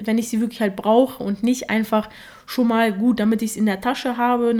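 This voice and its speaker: A woman's fairly high, dark, mellow voice at a moderate pace, monotone and flat in intonation. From Germany, Russian-speaking family. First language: Russian (speaking German). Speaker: podcast host. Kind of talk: solo podcast monologue.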